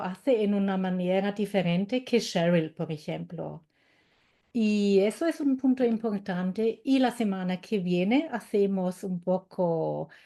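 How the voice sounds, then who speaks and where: With a German accent and a dark, mellow tone, the speaker talks at a very slow pace with lively intonation against a quiet background. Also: woman. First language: German (speaking Spanish). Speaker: German language teacher. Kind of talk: webinar presentation. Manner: halting.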